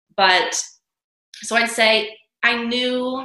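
This is a woman speaking with an American accent. Audible room echo colors the recording. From New York City. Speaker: author and dancer. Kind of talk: interview.

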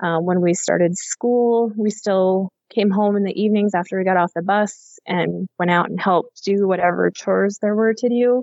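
A woman's ordinary speaking voice with an American accent, medium pitch, fairly even intonation, very even loudness, a moderate pace and hardly any pauses. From Montana, US. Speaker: rancher and writer. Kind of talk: casual interview.

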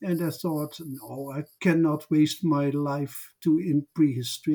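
Delivery is fairly slow and monotone, with flat intonation and a Dutch accent. The recording is very clean, with a silent background. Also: man. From southern Netherlands. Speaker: social historian. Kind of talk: interview. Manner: halting.

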